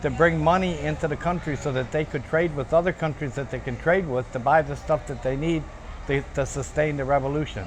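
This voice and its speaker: A man talks fairly quickly, and noticeable background noise can be heard. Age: 70s. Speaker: activist, Vietnam veteran. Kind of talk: documentary interview. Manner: halting, repeats words.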